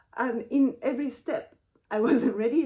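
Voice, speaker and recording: A woman's dark, mellow tone with a Japanese accent at a moderate pace. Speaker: YouTuber, cultural translator. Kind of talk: personal reflection vlog. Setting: at home in front of bookshelf. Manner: halting.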